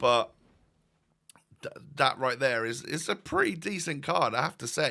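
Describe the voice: Putting on a character voice, a man with a fairly high pitch sounds hoarse and croaky at a moderate pace, on a very clean recording with a silent background.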